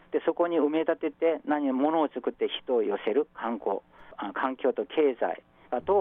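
A man with a Korean accent. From South Korea, Busan. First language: Korean (speaking Japanese). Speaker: professor. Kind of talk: radio interview.

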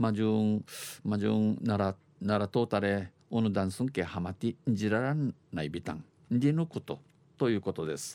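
With an Okinawan accent, a man speaks at a fairly slow pace and fairly low pitch. His intonation is lively, and his tone is dark and mellow. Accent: Okinawan dialect (Uchinaaguchi) speaker. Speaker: dialect news presenter. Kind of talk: news reading in dialect with translation. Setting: radio studio.

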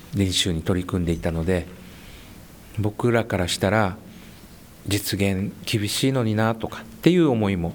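A man talks at a moderate pace with long, frequent pauses. His pitch is fairly low, with ordinary pitch variation. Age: 50s. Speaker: high school basketball coach. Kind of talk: interview.

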